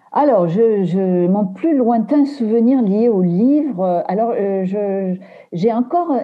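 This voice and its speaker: A woman's medium-pitched voice, very slow in pace, with lively intonation. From Aveyron, southern France. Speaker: book editor and novelist. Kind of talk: interview. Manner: halting, many repetitions and hesitations.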